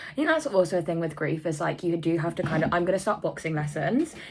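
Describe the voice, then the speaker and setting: Her tone is animated. The woman's voice sits fairly low in pitch. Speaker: vlogger. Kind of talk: casual vlog talk. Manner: chatty, rambling.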